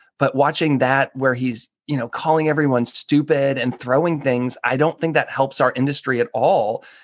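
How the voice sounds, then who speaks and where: A man with an American accent and a plain, everyday voice talks at a moderate pace and a fairly high pitch, the sound dry and close with no echo over a quiet background. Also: fairly even intonation. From northern US. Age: 40s. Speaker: personal chef. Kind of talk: interview.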